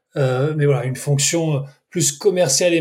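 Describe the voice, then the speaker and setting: Fairly slow man's speech in a plain, everyday voice, with fairly even intonation. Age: 30s. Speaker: sportswatch brand country manager. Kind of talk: interview.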